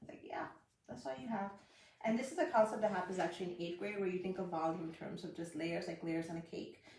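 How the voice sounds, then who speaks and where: Talking at a very fast pace, a woman uses a fairly low pitch with ordinary pitch variation. Audible room echo surrounds her voice. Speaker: math teacher giving online lessons. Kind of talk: live-streamed tutorial. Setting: live stream.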